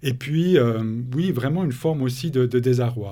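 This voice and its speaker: A man with a dark, mellow tone and medium pitch talks at a moderate pace, sounding somewhat breathy. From Switzerland, Bernese Jura. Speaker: author and thinker on ecospirituality. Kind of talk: interview.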